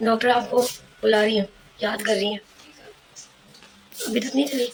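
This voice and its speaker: A woman with a fairly high pitch speaks at a fairly slow pace in a flat monotone. Noticeable background noise is present. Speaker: vlogger, hospital health worker. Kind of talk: casual vlog chat.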